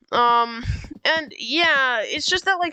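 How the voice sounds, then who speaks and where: Raising and projecting her voice, a woman speaks in a bright, sharp tone with lively intonation. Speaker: gaming youtuber. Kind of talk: game review commentary. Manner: halting, many fillers; loud.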